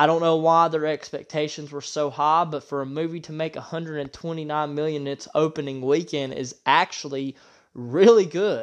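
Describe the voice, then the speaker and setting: A man speaks in a normal speaking voice at a moderate pace, with fairly even intonation. His loudness swings widely against a quiet background. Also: fairly high pitch for a man. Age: 30s. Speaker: podcast host, movie reviewer. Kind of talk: solo movie review monologue.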